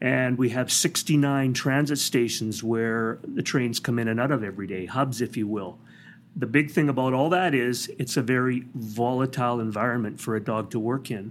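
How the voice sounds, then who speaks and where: A man with an ordinary speaking voice and a Canadian accent talks at a moderate pace with medium pitch and ordinary pitch variation, on a very clean recording with a silent background. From British Columbia, Canada. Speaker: police dog trainer. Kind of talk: interview. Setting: conference.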